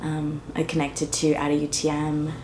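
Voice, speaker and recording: A woman with a very deep, low pitch talks amid audible room echo. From Trinidad. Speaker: artist and community organizer. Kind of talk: personal testimony interview. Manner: casual, many fillers (like, um).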